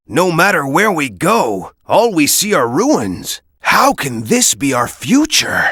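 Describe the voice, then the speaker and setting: A cartoonish character voice at middle pitch, with very wide pitch swings, a fairly slow pace and hardly any pauses. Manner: serious.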